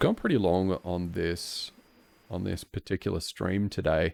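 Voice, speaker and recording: A man with an Australian accent, a very deep, low pitch and a dark, mellow tone, at a moderate pace on a very clean recording with a silent background. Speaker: software developer streamer. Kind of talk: live coding stream chat. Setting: live stream. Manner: halting, repetitive.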